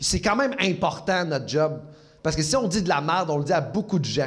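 A man talks in a high voice with ordinary pitch variation, and audible room echo surrounds him. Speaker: comedian. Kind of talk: casual chat. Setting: stage with audience.

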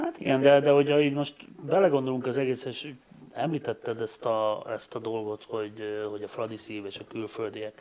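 A man speaks in a plain, everyday voice. His loudness swings widely. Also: medium pitch for a man, ordinary pitch variation, moderate pace. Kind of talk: casual chat.

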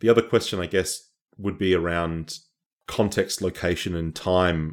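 A man with an Australian accent speaks at a very deep, low pitch on a very clean recording with a silent background. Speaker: academic activist. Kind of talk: interview.

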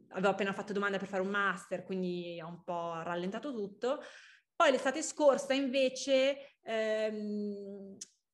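A woman with an unremarkable speaking voice talks at a medium pitch and a moderate pace, her intonation lively and her loudness swinging widely. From Milan, northern Italy. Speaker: young entrepreneur, fashion founder. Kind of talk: casual interview. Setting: podcast.

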